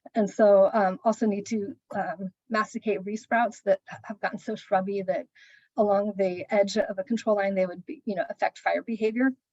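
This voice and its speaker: Somewhat breathy and of medium pitch, a woman speaks with ordinary pitch variation and big swings in loudness in a dry, close sound with no echo. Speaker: land trust staff, conservation. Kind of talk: work meeting update. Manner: fast.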